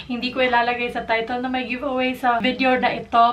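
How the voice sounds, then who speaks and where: Her voice sits high in pitch. Clear background noise can be heard throughout. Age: 20s. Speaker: beauty vlogger. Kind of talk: casual vlog talk.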